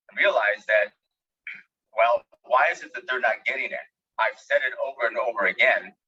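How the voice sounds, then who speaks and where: In a Spanish accent, a man talks at a moderate pace. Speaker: education expert. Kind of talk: webinar lecture. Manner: animated.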